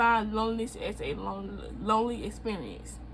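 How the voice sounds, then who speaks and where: A woman's voice with audible room echo. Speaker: video blogger. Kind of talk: reading aloud with commentary. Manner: halting.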